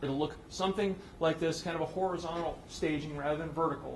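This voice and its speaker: Through noticeable background noise and audible room echo, a man speaks with fairly even intonation. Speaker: conference speaker, space project manager. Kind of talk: conference presentation. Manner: fast.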